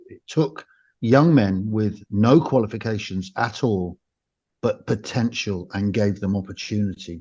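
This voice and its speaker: A man speaks at a fairly low pitch in a dark, mellow tone with ordinary pitch variation. His pace is fairly slow and the background is quiet. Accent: English. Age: 60s. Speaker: former special forces soldier and author. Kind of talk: interview.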